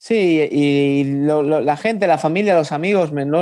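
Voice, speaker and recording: A man's fairly high voice, an unremarkable speaking voice with ordinary pitch variation. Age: 30s. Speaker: professional boxer. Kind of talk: interview.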